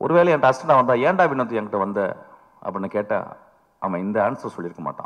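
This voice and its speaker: This man's voice sits at a medium pitch. It swings very widely up and down. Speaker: film director. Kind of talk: speech at a film trailer launch. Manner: humorous, anecdotal.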